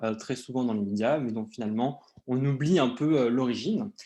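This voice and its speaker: The speaker is a man with a medium pitch. He talks at a fairly quick pace, his pitch varying in an ordinary way. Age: 20s. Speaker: PhD student in geology, conference speaker. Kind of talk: conference presentation. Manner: hesitant, many filler sounds.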